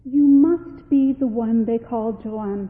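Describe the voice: Putting on a shaky, squeaky character voice, a woman speaks at a fairly slow pace and fairly high pitch.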